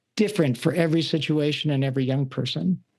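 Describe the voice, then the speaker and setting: Against a quiet background, a man talks in a normal speaking voice with a fairly high pitch. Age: 60s. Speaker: youth work organization director. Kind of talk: podcast interview.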